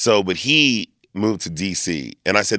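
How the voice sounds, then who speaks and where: Vocal fry runs through this voice, which carries an American accent. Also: man. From Lancaster, Pennsylvania. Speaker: performer and event host. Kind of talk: casual interview. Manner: animated.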